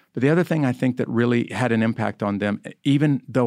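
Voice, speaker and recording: Talking at a very fast pace with ordinary pitch variation, a man with an American accent comes through on a very clean recording with a silent background. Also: dry, close sound with no echo. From rural US small farm community. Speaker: army chaplain and author. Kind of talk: interview conversation.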